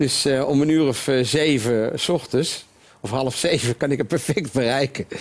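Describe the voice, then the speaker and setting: Here is a man with a plain, everyday voice and a fairly high pitch. He speaks at a moderate pace with ordinary pitch variation. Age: 60s. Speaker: retail entrepreneur. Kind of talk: interview.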